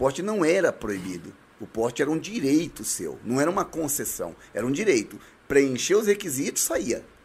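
Vocal fry and very wide pitch swings in a man's fairly high-pitched voice. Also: moderate pace. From Brazil, Northeast. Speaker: municipal guard and shooting club instructor. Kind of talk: casual chat.

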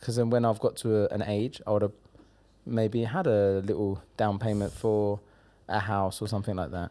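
A man with an English accent talks at a moderate pace and a fairly low pitch, his tone dark and mellow. The recording is very clean, with a silent background. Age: 30s. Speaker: comedian and social media personality. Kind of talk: casual chat. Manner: animated.

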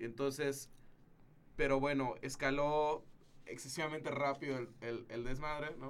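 A man with a fairly high voice speaks fairly slowly, with fairly even intonation and long, frequent pauses. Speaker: filmmaker. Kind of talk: casual chat. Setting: studio.

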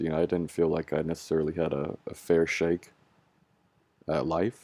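A man speaks at a very deep, low pitch with a dark, mellow tone and vocal fry. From US West Coast, San Francisco Bay Area. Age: 20s. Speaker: law student. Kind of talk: interview, personal story.

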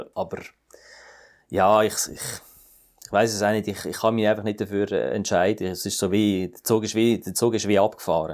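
Speaking at a moderate pace with long, frequent pauses, a man with a Swiss accent uses a fairly low pitch, fairly even intonation and big swings in loudness. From Switzerland, Fribourg. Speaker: satirist and cabaret artist. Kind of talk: interview. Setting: remote call. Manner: halting.

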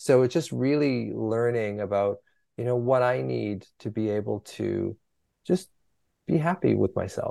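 With an ordinary speaking voice, a man talks at a medium pitch and a fairly slow pace. His intonation is lively. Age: 60s. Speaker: physician and anxiety author. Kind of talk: interview conversation.

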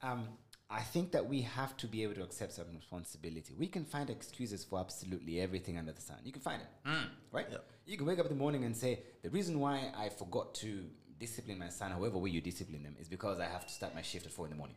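In a Kenyan accent, a man talks at a very fast pace with very wide pitch swings. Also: fairly low pitch for a man. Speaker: lawyer. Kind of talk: casual chat.

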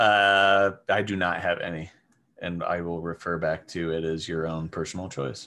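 On a very clean recording with a silent background, a man with a Midwestern American accent speaks at a moderate pace in a very deep, low voice, his tone bright and sharp and his intonation fairly even. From Wichita, Kansas. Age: 30s. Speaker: restaurant manager. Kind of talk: casual chat.

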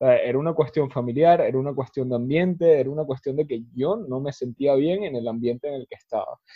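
With hardly any pauses, a man talks at a fairly quick pace in a normal speaking voice, fairly high in pitch with ordinary variation. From Venezuela. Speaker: podcast host. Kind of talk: casual chat.

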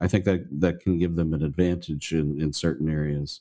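Very deep and low in pitch, a man with a dark, mellow tone speaks in a monotone, flat intonation on a very clean recording with a silent background. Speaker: industry analyst. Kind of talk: casual interview chat.

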